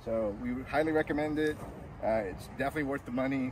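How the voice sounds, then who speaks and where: A man talks at a fairly quick pace, his voice dry with no echo, over noticeable background noise. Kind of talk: interview answer. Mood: pleased, grateful. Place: open country.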